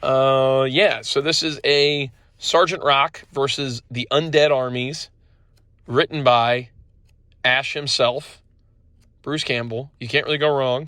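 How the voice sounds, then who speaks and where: The speaker talks at a very slow pace with fairly even intonation. Long pauses come often. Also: man, fairly high pitch for a man. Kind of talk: casual product review. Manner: casual, filler-heavy.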